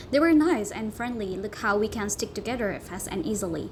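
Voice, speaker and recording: Over noticeable background noise, a woman with an Indonesian accent speaks at a fairly quick pace in a fairly high pitch with lively intonation. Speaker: university student. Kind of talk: class presentation narration.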